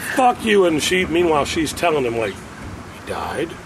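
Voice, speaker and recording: In an American accent, a man with a high pitch speaks at a fairly slow pace, his pitch swinging very widely over noticeable background noise. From US Midwest, Cincinnati area (Forest Park, Ohio). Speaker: musician. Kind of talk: casual chat.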